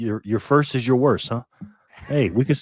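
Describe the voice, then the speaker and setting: With an American accent, a man speaks in an unremarkable speaking voice at medium pitch, his intonation lively and the sound dry and close with no echo. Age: 50s. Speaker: bitcoin YouTuber. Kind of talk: casual interview chat.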